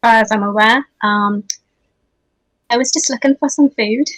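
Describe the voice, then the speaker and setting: In a Welsh accent, a woman speaks with ordinary pitch variation, the sound dry and close with no echo. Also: fairly high pitch for a woman, moderate pace. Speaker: tabletop role-playing game player.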